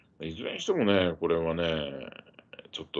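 A man is speaking. His pace is moderate. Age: old. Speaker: journalist and political commentator; journalist commentator. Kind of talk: live stream commentary monologue; live stream news commentary. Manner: conversational with many fillers. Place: home room. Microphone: phone near.

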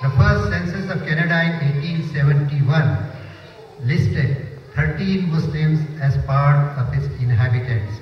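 A man speaks very slowly at a fairly high pitch, with ordinary pitch variation. Light background noise and audible room echo are present. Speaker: mosque administrator. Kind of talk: prepared speech. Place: hall.

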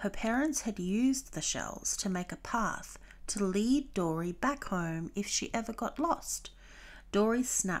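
Someone is doing plain reading aloud. Their intonation stays lively throughout.

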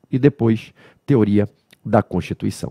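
A man's dark, mellow tone, lively intonation and fairly slow pace over a quiet background. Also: dry sound with no echo. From Brazil. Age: 40s. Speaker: law lecturer. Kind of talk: lecture. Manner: didactic, conversational. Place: studio. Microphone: headset.

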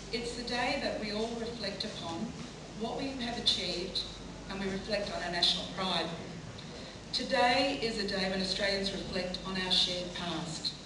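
At a moderate pace, a woman talks at a medium pitch with ordinary pitch variation, amid audible room echo and noticeable background noise. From Australia. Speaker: politician. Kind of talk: ceremonial speech. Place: hall.

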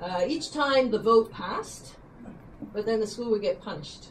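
This woman talks in a normal speaking voice at a moderate pace, pitched fairly high, with a Canadian accent. Light background noise is present. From western Canada. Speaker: retiring teacher. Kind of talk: retirement speech. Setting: dinner event with audience. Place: hall. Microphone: camera far.

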